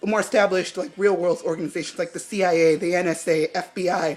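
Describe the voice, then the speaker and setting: Music plays in the background as a woman speaks at medium pitch. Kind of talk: casual review talk to camera. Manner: rambling, hesitant.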